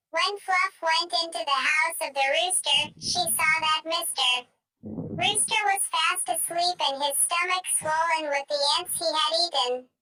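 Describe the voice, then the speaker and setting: Putting on a squeaky character voice at an extremely high pitch, a woman speaks at a moderate pace with fairly even intonation, the sound dry and close with no echo and music in the background. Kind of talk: bedtime story. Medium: read story.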